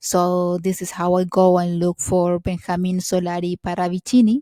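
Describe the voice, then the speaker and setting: A woman's fairly low, dark and mellow voice in a Spanish accent, monotone and flat in intonation, with a dry, close sound with no echo and a very clean recording with a silent background. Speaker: video blogger. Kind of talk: casual monologue to camera. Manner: halting, many fillers.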